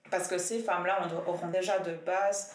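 Over noticeable background noise and audible room echo, a woman with a fairly low pitch speaks at a moderate pace in a monotone, flat intonation. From Biel/Bienne, Switzerland. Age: 20s. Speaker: nurse and feminist activist. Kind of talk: casual discussion. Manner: hesitant, many fillers.

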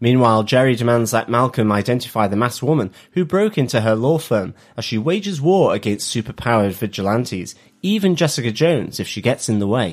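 Talking at a very fast pace, a man with a medium-pitched voice uses lively intonation. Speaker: podcast co-host. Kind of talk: casual chat. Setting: video call.

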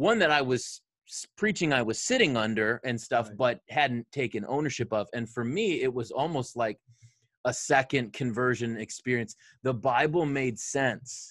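Dry and close with no echo, a man's medium-pitched voice comes at a moderate pace with an American accent. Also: ordinary pitch variation. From Detroit area, Michigan. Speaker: pastor, podcast co-host. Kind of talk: casual chat between co-pastors, doctrine and football.

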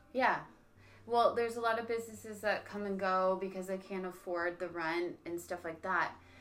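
Using an ordinary speaking voice, a woman at medium pitch keeps a moderate pace and fairly even intonation. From Niagara, Ontario, Canada. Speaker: podcast host. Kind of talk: casual chat.

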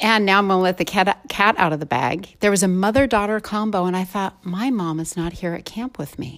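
In a very clean recording with a silent background, a woman speaks in an ordinary speaking voice at medium pitch. Her pace is fairly quick, with ordinary pitch variation and hardly any pauses. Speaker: podcast host. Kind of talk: casual interview chat.

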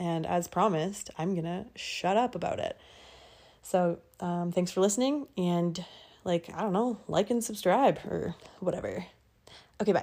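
A woman speaks at a moderate pace with a western Canadian accent, her pitch medium and her tone dark and mellow. Her pitch varies in an ordinary way, and she leaves long, frequent pauses. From Alberta, Canada. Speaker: podcast host. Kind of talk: casual monologue. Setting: at home in bed. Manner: casual, giggly.

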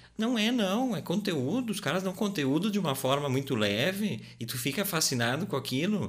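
Audible room echo surrounds this voice as it moves at a moderate pace with hardly any pauses. Its pitch makes very wide swings. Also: man, high pitch for a man. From Rio Grande do Sul, Brazil (Garibaldi). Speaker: podcast co-host. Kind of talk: casual chat. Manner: halting.

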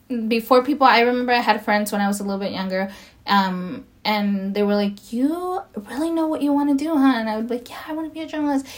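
Talking at a very fast pace with hardly any pauses, this speaker has an American accent and lively intonation over noticeable background noise. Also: woman, fairly high pitch for a woman. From Los Angeles, US. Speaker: podcast guest, DACA recipient. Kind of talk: casual interview.

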